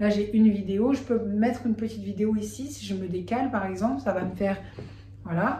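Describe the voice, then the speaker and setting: Someone talks at a fairly quick pace with fairly even intonation, over noticeable background noise and with audible room echo. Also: woman, medium pitch for a woman. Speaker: video creator. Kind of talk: tutorial. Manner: hesitant fillers.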